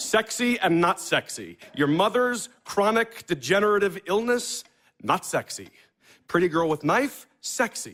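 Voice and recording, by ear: A man puts on a character voice, high-pitched and fairly bright in tone. He moves at a fairly slow pace with big pitch swings.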